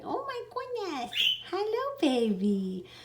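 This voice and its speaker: Her put-on character voice is squeaky, with an extremely high pitch. This woman's words come at a very slow pace. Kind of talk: baby talk. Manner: gushing, cooing at animals.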